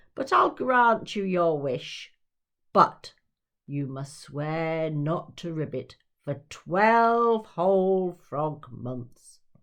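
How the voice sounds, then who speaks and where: This is a put-on character voice at a middle pitch. The delivery is very slow. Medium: read story. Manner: huffy, puffing.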